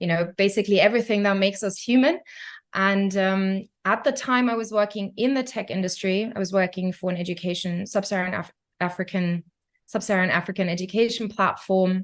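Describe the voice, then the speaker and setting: In a slight German accent, a woman talks at a fairly quick pace with fairly even intonation. Her pitch is medium, and the background is quiet. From Germany. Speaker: concert pianist and tech entrepreneur. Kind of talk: podcast interview. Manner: hesitant, many fillers.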